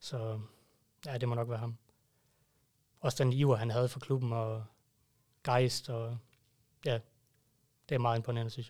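A somewhat breathy man, monotone and flat, with long, frequent pauses. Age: 30s. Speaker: fan club member. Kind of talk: casual chat. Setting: studio.

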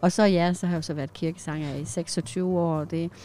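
A woman's dark, mellow voice. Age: 50s. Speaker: church singer. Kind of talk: casual chat. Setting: parked old van.

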